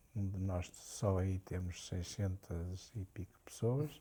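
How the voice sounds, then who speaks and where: A man talks at a very slow pace in a somewhat breathy voice with a dark, mellow tone, on a very clean recording with a silent background. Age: 70s. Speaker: business executive. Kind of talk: interview. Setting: at home.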